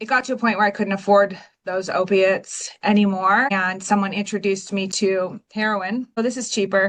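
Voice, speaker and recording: A woman with an American accent speaks in a flat monotone with hardly any pauses. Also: medium pitch for a woman, moderate pace. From Washington State, US (Pacific Northwest). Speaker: recovering addict, real estate agent. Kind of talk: personal testimony in interview.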